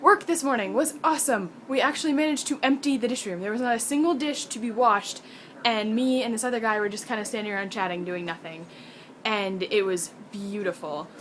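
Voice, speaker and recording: A woman talks at a fairly quick pace in a fairly high pitch, her tone animated and her intonation lively. Noticeable background noise runs behind her. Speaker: college student vlogger. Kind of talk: casual video diary. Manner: fast.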